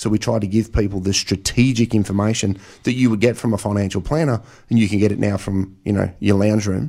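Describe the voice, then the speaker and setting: Talking at a very fast pace in an Australian accent, a man with a fairly low pitch keeps fairly even intonation on a very clean recording with a silent background. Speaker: financial planner and author. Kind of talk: radio interview.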